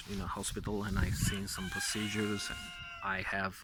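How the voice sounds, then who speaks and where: A man with a non-native accent at a fairly low pitch and moderate pace, over noticeable background noise. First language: not English. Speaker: vlogger and nurse. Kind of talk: casual vlog talk. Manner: halting, many fillers.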